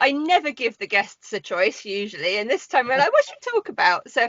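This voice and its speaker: A woman talks at a moderate pace, her pitch swinging very widely. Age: 40s. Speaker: podcast host. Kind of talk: casual chat.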